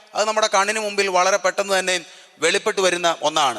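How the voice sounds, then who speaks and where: Over noticeable background noise, a man uses a raised, projected voice with fairly even intonation. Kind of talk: sermon, Bible exposition.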